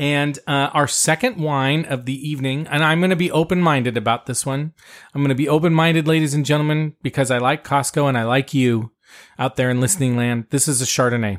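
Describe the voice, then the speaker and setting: A man with an American accent and fairly high pitch, fairly quick pace and ordinary pitch variation, on a very clean recording with a silent background. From US, Italian American family. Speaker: wine podcast host. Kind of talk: casual chat and wine tasting review. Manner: animated.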